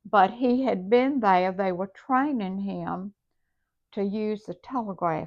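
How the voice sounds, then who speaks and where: A woman with a Southern US accent speaks at a fairly slow pace and medium pitch, with ordinary pitch variation. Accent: Southern American. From South Carolina. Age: 80s+. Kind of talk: interview answer.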